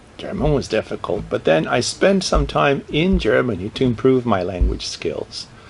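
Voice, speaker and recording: A man is speaking here. He talks at a fairly slow pace over noticeable background noise. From Brazil. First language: Portuguese. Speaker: professor. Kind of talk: interview.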